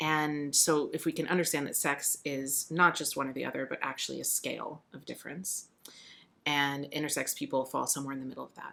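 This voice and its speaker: Her pitch very deep and low, a woman speaks at a fairly quick pace in a bright, sharp tone. Her intonation is flat and monotone. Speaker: podcast guest. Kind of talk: casual interview chat. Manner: thoughtful, hesitant with fillers.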